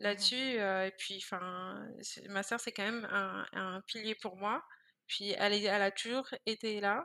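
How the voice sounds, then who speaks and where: Her tone bright and sharp, a woman speaks at a medium pitch and a fairly slow pace with fairly even intonation. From France, Paris suburbs (Val-de-Marne). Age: 20s. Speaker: entrepreneur. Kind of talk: interview.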